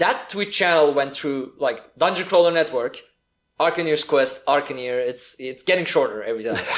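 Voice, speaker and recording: A man's fairly high voice in a Turkish accent, with ordinary pitch variation and a moderate pace. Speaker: podcast host. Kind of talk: casual chat. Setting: hotel room, in person.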